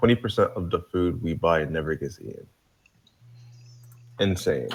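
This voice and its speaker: This man speaks with a New Jersey accent in a very deep, low register. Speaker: live stream panelist. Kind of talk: casual chat; reading aloud.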